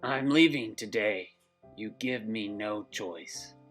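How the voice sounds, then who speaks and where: A put-on character voice, raspy and gruff with an angry tone, speaks at a fairly slow pace over music in the background. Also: man, medium pitch for a man. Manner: gruff, determined, angry.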